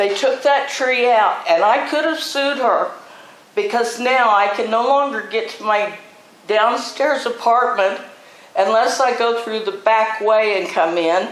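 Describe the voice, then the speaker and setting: A woman talks at a fairly slow pace with ordinary pitch variation. Audible room echo and noticeable background noise come through. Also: fairly high pitch for a woman. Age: 70s. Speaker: property owner at public hearing. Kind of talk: public hearing statement. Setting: city council meeting at podium.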